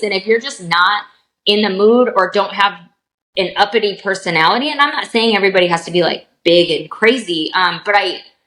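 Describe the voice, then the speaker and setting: A woman speaks loudly at a fairly quick pace. Her pitch is medium, with ordinary pitch variation. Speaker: reseller on live selling platform. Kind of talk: podcast interview. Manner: animated.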